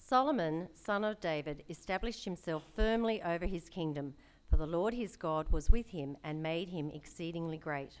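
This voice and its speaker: A woman's normal speaking voice with lively intonation at a moderate pace, on a very clean recording with a silent background. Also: fairly low pitch for a woman. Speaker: scripture reader. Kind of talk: reading aloud. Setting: church.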